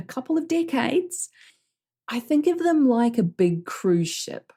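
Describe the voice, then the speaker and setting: With a New Zealand accent, a woman speaks at a moderate pace in a dark, mellow tone with very wide pitch swings, in a very clean recording with a silent background. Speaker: business coach. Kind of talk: podcast coaching talk.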